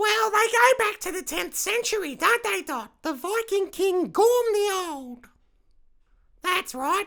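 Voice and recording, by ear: Someone puts on a character voice at an extremely high pitch and talks at a fairly slow pace.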